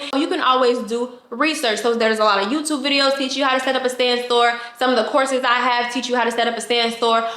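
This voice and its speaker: Amid noticeable background noise and audible room echo, a woman speaks in a high voice with fairly even intonation. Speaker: online business coach. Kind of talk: tutorial. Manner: fast.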